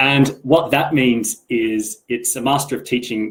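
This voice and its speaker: His voice is somewhat breathy. The man talks at a medium pitch. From Australia. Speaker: English teacher. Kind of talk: online presentation.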